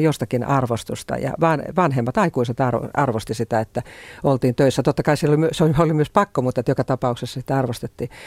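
Delivered at a very fast pace with ordinary pitch variation, the speech has a dry, close sound with no echo. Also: man. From rural Finland. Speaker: foreign correspondent. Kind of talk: interview.

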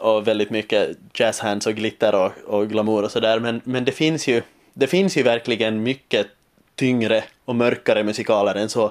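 Spoken at a moderate pace with a Finland Swedish accent. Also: man. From Finland, Swedish-speaking Ostrobothnia (Vasa). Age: 20s. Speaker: musical theatre student. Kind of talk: interview. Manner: halting, many repetitions.

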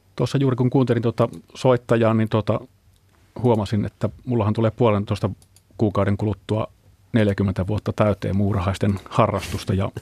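A man speaks at a moderate pace in a fairly low voice, with a dark, mellow tone and a somewhat breathy quality. His intonation stays fairly even, and the recording is very clean and dry, close-miked with a silent background and no echo. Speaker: ant researcher. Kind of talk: radio interview. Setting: studio.

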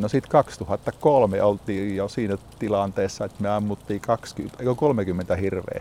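A man is speaking. His pitch is fairly low. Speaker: hunting club chairman. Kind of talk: interview. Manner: hesitant with filler words.

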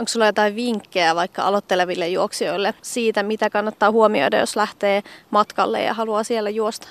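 Recorded very cleanly against a silent background, with a dry, close sound and no echo, a woman speaks in a plain, everyday voice at medium pitch, fairly quick pace and fairly even intonation. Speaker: radio journalist. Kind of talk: casual interview. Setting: outdoors.

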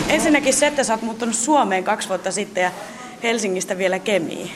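The speech has lively intonation, with audible room echo and music playing in the background. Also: woman. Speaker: radio reporter. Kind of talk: on-location interviews. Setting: in a car.

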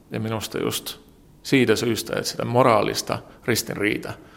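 Vocal fry runs through this man's speech, delivered at a fairly slow pace. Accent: Estonian. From Estonia, Tallinn. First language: Estonian (speaking Finnish). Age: 40s. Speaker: journalist. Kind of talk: interview. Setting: newspaper office. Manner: halting.

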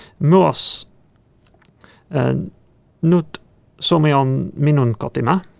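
The man speaks at a very slow pace. Long pauses come often. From England. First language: English (speaking Finnish). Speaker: software engineer. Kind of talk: interview. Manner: halting, hesitant.

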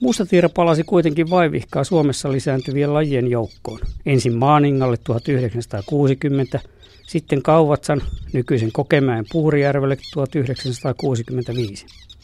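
With a dark, mellow tone, a man with fairly high pitch and ordinary pitch variation speaks at a very slow pace in a dry, close recording with no echo. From Finland, South Karelia (Lappee). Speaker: nature radio presenter, ornithologist. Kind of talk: scripted narration.

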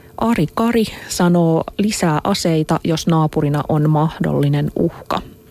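A woman with a very deep, low pitch speaks at a very slow pace and very even loudness, with ordinary pitch variation and noticeable background noise. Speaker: radio host. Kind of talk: radio interview. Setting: studio.

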